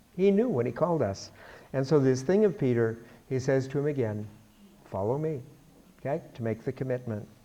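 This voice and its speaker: A man with a medium pitch and a dark, mellow tone talks at a fairly quick pace with lively intonation, broken by long, frequent pauses. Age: 70s. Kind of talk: bible study lecture. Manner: conversational.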